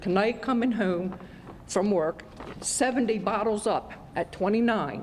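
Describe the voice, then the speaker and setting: With very even loudness and ordinary pitch variation, a woman speaks at a fairly slow pace, pausing long and often against noticeable background noise. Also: medium pitch for a woman. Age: 70s. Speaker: resident at community meeting. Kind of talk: public comment.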